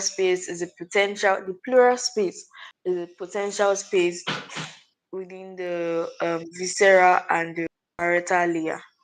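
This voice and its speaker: A quiet woman speaks at a medium pitch with fairly even intonation. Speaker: student summarizing a lesson. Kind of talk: oral recap of anatomy lesson. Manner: quiet, low volume.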